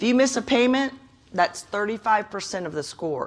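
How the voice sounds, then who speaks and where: A woman with an ordinary speaking voice talks at a moderate pace. Her pitch is fairly high and her intonation lively. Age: 60s. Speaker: credit counselor. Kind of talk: workshop presentation.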